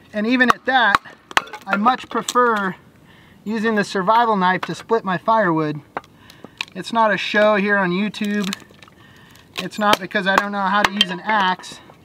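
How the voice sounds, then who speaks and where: The speech moves at a moderate pace with long, frequent pauses, the sound dry with no echo under loud background noise. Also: man. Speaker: van life vlogger. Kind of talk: casual vlog chat. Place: open country.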